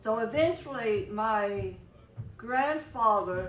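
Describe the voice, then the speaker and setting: A woman with a fairly high pitch speaks in a Mississippi accent amid audible room echo. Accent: Mississippi Southern. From Mississippi Delta. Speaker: longtime community organization member. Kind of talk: oral history interview. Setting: convention interview. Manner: halting, many fillers.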